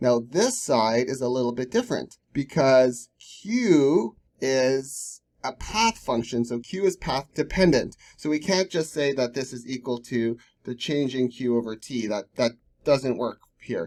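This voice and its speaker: Here is a man with an unremarkable speaking voice and a medium pitch. He talks at a fairly slow pace with ordinary pitch variation. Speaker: science tutor. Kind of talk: lecture.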